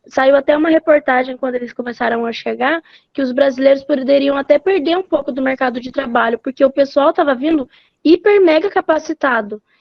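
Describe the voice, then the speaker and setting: A woman's high-pitched voice with ordinary pitch variation, at a fairly quick pace. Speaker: student. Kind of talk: class discussion.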